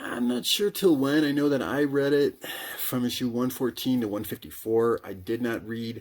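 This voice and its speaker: The man's voice sits at a medium pitch, varying in an ordinary way. He keeps a moderate pace. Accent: Midwestern. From US Midwest. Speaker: comic book collector and YouTuber. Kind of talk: casual monologue. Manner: halting.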